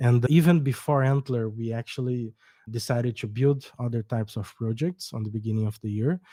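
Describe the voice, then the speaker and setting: A man with a Brazilian accent speaks at a medium pitch in a dark, mellow tone with ordinary pitch variation, on a very clean recording with a silent background and a dry, close sound with no echo. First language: Portuguese. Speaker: startup co-founder. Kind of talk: podcast interview. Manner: hesitant, with false starts.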